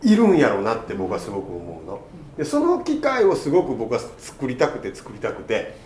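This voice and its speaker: Big swings in loudness and hardly any pauses, with noticeable background noise and audible room echo. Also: man, fairly quick pace. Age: 20s. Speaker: podcast host. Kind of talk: casual chat.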